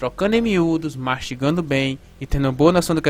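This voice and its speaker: Pitched fairly high, a man talks at a fairly quick pace with ordinary pitch variation. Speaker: math teacher. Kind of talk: lecture. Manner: fast.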